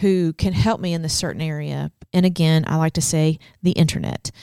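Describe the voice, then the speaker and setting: Recorded very cleanly against a silent background, with a dry, close sound and no echo, a woman with a fairly low voice speaks at a moderate pace in an unremarkable speaking voice. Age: 40s. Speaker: podcast co-host for church leaders. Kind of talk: casual chat.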